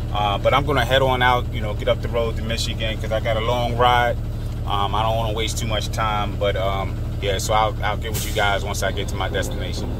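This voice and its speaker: A man talks at a fairly quick pace with noticeable background noise. The sound is dry, with no echo. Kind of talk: casual vlog chat. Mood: concerned, earnest. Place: car. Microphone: phone near.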